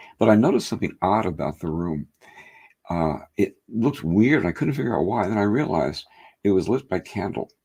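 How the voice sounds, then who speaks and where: With a dark, mellow tone and vocal fry, a man talks at a fairly quick pace through very wide pitch swings. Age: 70s. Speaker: hypnotherapist. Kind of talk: interview. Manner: halting, many fillers.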